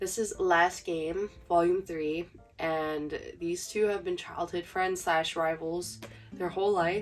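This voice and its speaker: A woman speaks quietly at a very slow pace, her voice fairly low with ordinary pitch variation. Music plays in the background. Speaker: manga collector / booktuber. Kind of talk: casual talk to camera. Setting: home, heater noise in background. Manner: quiet, low volume.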